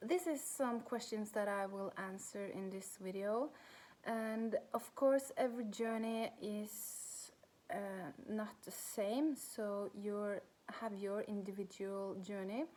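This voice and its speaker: In a Norwegian accent, a woman speaks at a very slow pace. Her tone is dark and mellow, with ordinary pitch variation. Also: fairly high pitch for a woman. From Norway. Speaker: spiritual coach. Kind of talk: personal vlog talk. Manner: halting.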